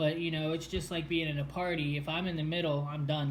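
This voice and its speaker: In a room with audible echo, a man talks at a fairly quick pace and fairly high pitch with monotone, flat intonation. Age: 20s. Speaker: person with a brain condition telling his story. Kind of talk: casual chat. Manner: halting, many fillers.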